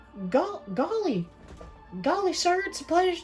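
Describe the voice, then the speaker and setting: A woman's put-on character voice, extremely high in pitch, at a moderate pace over clear background music. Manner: polite, eager.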